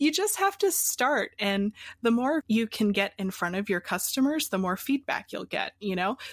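A woman speaks with an American accent at a moderate pace, her pitch fairly high. It is a plain, everyday voice, and the sound is dry and close with no echo. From Pennsylvania, US. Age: 20s. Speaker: coffee business founder. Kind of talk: interview.

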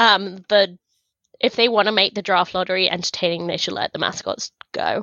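A woman with a London accent talks at a moderate pace, her voice medium in pitch. Her intonation stays monotone and flat. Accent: sounds like from London. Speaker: hockey podcast co-host. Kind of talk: casual chat. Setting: remote recording.

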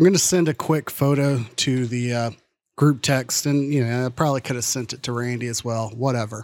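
On a very clean recording with a silent background, a man with a plain, everyday voice talks at a moderate pace, medium in pitch, with fairly even intonation. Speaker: podcaster. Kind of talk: casual chat. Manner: laughs often.

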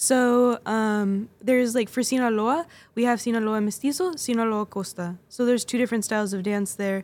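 A fairly high-pitched woman with a Californian accent in a very clean recording with a silent background. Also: ordinary pitch variation, moderate pace. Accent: Californian American English. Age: 20s. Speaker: folklórico dancer and instructor. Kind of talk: casual interview. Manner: laughs often.

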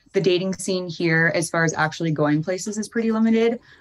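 A woman with an Upper Midwest accent speaks at a fairly low pitch with ordinary pitch variation, in a very clean recording with a silent background. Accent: Upper Midwest American. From Fargo, North Dakota. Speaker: reality TV contestant. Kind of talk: interview.

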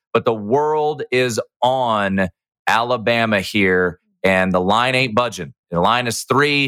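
A man with an American accent, medium pitch, ordinary pitch variation, very even loudness and a very slow pace. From Washington DC. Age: 30s. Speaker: sports betting radio host. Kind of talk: casual chat. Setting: remote call.

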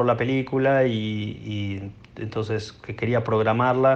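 The pace is fairly slow. Intonation stays monotone and flat throughout. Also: man. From Buenos Aires, Argentina. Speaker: film director. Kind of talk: interview. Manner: halting, many repetitions.

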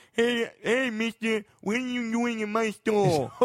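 Using a put-on character voice, a man talks at a fairly slow pace in an extremely high pitch. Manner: exaggerated put-on voice, mocking.

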